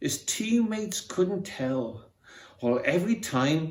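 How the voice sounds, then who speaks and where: Speaking very slowly with a Welsh accent, this man has a fairly high pitch and very wide pitch swings. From Wales. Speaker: amateur theatre member. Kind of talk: reading aloud. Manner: expressive.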